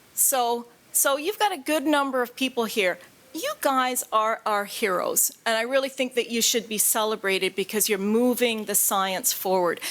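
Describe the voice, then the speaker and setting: A woman with a Canadian accent, fairly high in pitch, at a moderate pace with ordinary pitch variation. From Canada. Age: 50s. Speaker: patient advocate. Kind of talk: conference talk.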